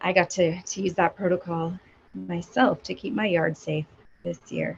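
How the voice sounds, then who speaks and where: Putting on a raspy character voice, a woman talks at a moderate pace in a fairly low pitch. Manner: flat, unenthusiastic.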